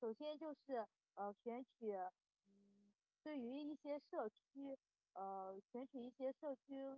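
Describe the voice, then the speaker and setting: Speaking very slowly, a woman uses a high voice whose pitch varies in a normal way. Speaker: exam candidate student. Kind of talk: mock interview answer. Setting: online voice chat. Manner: halting, many fillers.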